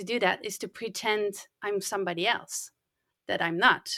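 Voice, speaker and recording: Recorded very cleanly against a silent background, a woman with a Dutch accent speaks at a moderate pace. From Netherlands. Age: 50s. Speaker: podcast manager. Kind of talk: interview.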